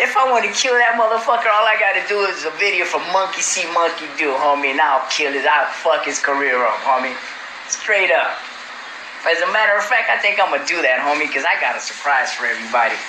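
A man talks at a fairly quick pace with a high pitch. Noticeable background noise can be heard. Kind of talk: casual phone chat. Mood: laughing, boastful, amused. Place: home room.

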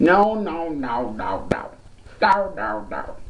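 A put-on character voice at a middle pitch, very slow, with very wide pitch swings. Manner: silly, cartoonish, scared.

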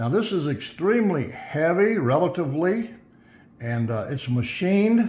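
A man talks at a fairly slow pace with very wide pitch swings. There is light background noise. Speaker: tech product reviewer. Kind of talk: product unboxing commentary. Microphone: phone near.

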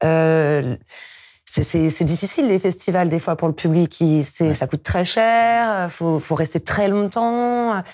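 A woman speaks at a very slow pace with a fairly low pitch against a quiet background. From France. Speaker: DJ and music producer; DJ, guest. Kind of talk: interview. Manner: hesitant, many fillers. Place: studio. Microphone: lapel.

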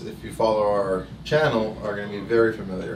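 A man talks at a fairly quick pace with a fairly low pitch and fairly even intonation. Room echo is audible.

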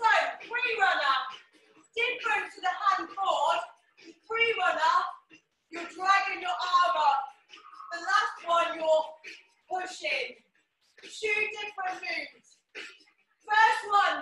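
Audible room echo carries a woman's raised, projected voice as she speaks very slowly with long, frequent pauses, big swings in loudness and ordinary pitch variation. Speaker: fitness instructor. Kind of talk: workout instruction. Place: home room. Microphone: camera far.

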